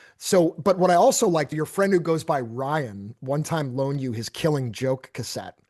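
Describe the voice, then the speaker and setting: Over a quiet background, a man with an American accent and fairly high pitch talks at a moderate pace in an animated tone with lively intonation and hardly any pauses. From Massachusetts, Boston suburbs. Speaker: podcast host. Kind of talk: casual interview.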